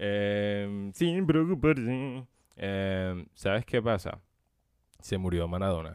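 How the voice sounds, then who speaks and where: Speaking at a very slow pace, a man uses a fairly low pitch and lively intonation. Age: 20s. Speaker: podcast host. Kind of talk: improvised solo podcast monologue. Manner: casual, laughing often.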